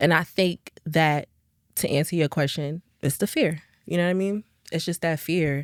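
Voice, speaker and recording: On a very clean recording with a silent background, a woman speaks with an American accent in a fairly low pitch. She has an unremarkable speaking voice, fairly even intonation and a moderate pace. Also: dry, close sound with no echo. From New Jersey, Jersey City, with time in Texas. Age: 20s. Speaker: R&B singer. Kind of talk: podcast interview.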